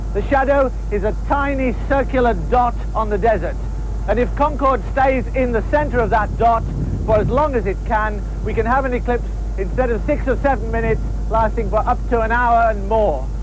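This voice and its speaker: The speech moves at a moderate pace with a dry sound with no echo, over noticeable background noise. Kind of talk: 1970s documentary narration, scripted and explanatory. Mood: calm explanatory. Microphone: old recording.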